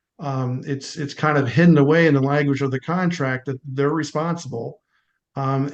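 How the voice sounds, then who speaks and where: A man speaks in a Philadelphia accent at a moderate pace. His pitch is fairly high and his intonation monotone and flat. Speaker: home inspector. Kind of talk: online meeting discussion.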